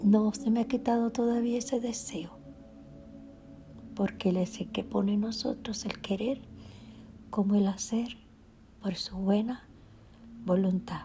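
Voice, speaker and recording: Against music in the background, a woman with a fairly high pitch speaks at a fairly slow pace with fairly even intonation and long, frequent pauses. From Cuba, Havana. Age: 70s. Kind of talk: testimony. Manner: unscripted, spontaneous.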